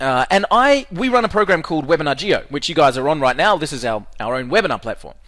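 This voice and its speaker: Talking very fast with hardly any pauses, a man with a fairly high pitch sounds animated, his pitch swinging very widely. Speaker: webinar presenter selling software. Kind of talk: sales pitch. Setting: webinar.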